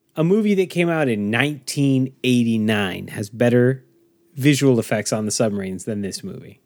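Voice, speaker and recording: A man talks with an unremarkable speaking voice in a very clean recording with a silent background. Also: medium pitch for a man, lively intonation, moderate pace. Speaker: podcast host. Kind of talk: casual chat.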